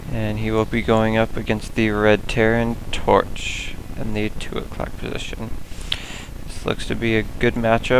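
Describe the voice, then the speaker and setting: Noticeable background noise behind a man's fairly slow delivery. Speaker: esports game commentator. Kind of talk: esports shoutcast commentary. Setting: voiceover commentary over game footage.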